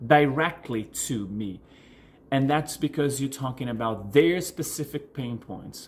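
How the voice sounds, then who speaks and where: A man with a Portuguese accent, somewhat breathy, at a fairly slow pace. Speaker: coach. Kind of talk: vlog tutorial answering viewer questions. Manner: halting, many fillers and restarts.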